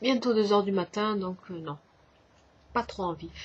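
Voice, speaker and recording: A woman talks at a fairly slow pace. Her voice is somewhat breathy and medium in pitch. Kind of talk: casual vlog talk to camera.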